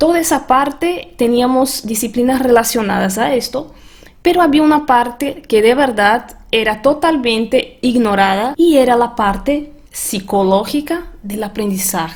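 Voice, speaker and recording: In a Portuguese accent, a woman with a high voice speaks at a fairly slow pace with lively intonation and hardly any pauses. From Brazil. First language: Portuguese (speaking Spanish). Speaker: transformation coach and language teacher. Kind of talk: webinar presentation.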